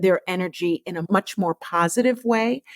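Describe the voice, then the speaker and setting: With lively intonation, a woman of medium pitch speaks in a plain, everyday voice, recorded with a dry, close sound and no echo. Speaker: veterinary oncologist and author. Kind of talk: podcast interview.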